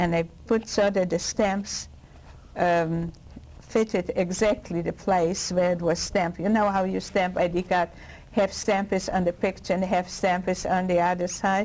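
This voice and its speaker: A woman with a Polish accent, medium pitch, monotone, flat intonation, very even loudness and a fairly slow pace. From Poland (Lwow). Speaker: Holocaust survivor. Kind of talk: oral history interview answer.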